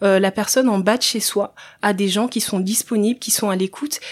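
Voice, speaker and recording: A woman in a normal speaking voice talks at a moderate pace, medium in pitch with ordinary pitch variation. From Central African Republic, then France from age 8. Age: 30s. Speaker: social entrepreneur, former nurse. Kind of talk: podcast interview.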